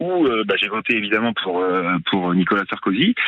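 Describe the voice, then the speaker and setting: A man speaks at a moderate pace with a fairly low pitch and lively intonation. Noticeable background noise runs under his voice. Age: 40s. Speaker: caller, salesman. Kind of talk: radio call-in. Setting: phone call. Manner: halting.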